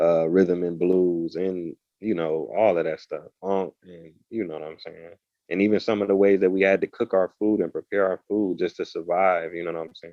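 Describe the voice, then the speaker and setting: His voice sits very deep and low, and the man's intonation stays flat and monotone. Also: moderate pace, big swings in loudness. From Ohio, US. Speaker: author and world traveler. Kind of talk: podcast interview. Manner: casual.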